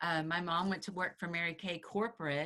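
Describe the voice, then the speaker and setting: Delivered in a Texan accent, the voice has a bright, sharp tone and a monotone, flat intonation at a moderate pace. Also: woman. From Texas, Dallas area. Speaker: real estate agent. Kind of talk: interview.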